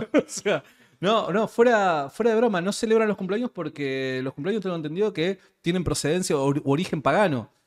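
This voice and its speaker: With lively intonation, a man speaks at a high pitch against a quiet background. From Argentina. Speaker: podcast host. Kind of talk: casual interview conversation. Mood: laughs while joking. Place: studio. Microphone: studio mic.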